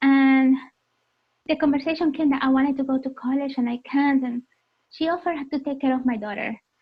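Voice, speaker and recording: A woman with a high voice and an Arabic accent. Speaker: motorcyclist and speaker sharing life story. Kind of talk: personal testimony.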